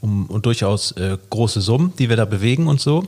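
Somewhat breathy and fairly low in pitch, a man talks at a moderate pace. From Hamburg, northern Germany. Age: 30s. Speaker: entrepreneur and podcast co-host. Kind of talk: casual chat.

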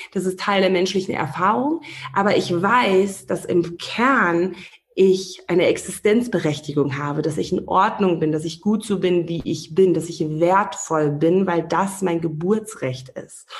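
A fairly slow pace and ordinary pitch variation, with noticeable background noise. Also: woman, medium pitch for a woman. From Namibia, Windhoek. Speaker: relationship and life coach. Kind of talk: interview.

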